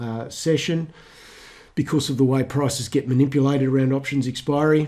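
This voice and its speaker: A man speaks at a moderate pace and medium pitch, his tone dark and mellow and his intonation fairly even, on a very clean recording with a silent background. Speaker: stock market educator. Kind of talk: market commentary with charts. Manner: hesitant, many fillers and restarts.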